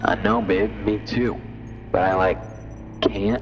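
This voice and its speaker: A put-on character voice, drawling at a fairly slow pace over loud background noise. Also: man, very deep, low pitch for a man. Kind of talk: slacker dude speech. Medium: audio drama. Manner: drawling, casual slang, lots of "like".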